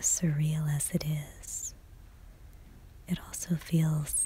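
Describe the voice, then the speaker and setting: Someone whispers, soft-spoken, at a very slow pace. Background noise is noticeable. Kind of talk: ASMR art gallery tour narration. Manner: soft-spoken, whispered.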